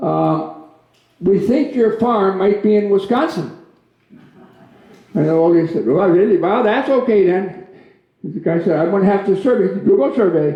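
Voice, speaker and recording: A man with an American accent speaks in a high voice, leaving long, frequent pauses. Audible room echo surrounds him. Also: ordinary pitch variation, moderate pace. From Minnesota. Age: 80s+. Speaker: guest speaker. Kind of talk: public talk with jokes. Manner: hesitant, many fillers.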